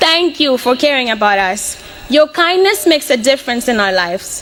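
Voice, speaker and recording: Amid noticeable background noise, a woman talks at a moderate pace with very wide pitch swings. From Mozambique (Beira). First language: Portuguese. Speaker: college student. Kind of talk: prepared speech.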